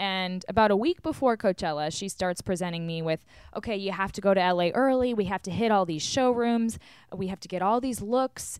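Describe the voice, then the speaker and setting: A woman with an ordinary speaking voice and a medium pitch talks at a fairly quick pace, the sound dry and close with no echo. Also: ordinary pitch variation. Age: 20s. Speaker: podcast host and reality TV personality. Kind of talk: casual chat. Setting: video call from a hotel.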